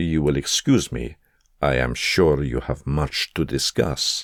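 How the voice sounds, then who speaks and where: Using a put-on character voice, a man rumbles at a very deep, low pitch and a fairly slow pace. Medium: read story. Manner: low, mocking, menacing.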